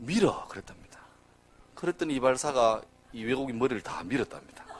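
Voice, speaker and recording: Vocal fry marks this man's voice as he talks at a fairly quick pace. His pitch swings very widely. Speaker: pastor. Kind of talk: sermon. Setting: church. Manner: casual, humorous storytelling with fillers.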